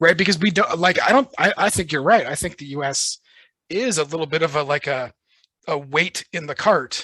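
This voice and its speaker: A man with an American accent speaks at a fairly high pitch in a bright, sharp tone. The sound is dry and close with no echo, over a quiet background. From United States. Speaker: podcast host. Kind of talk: podcast interview.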